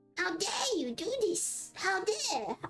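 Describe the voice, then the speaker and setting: In a put-on character voice, the speaker's extremely high pitch makes very wide swings. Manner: indignant.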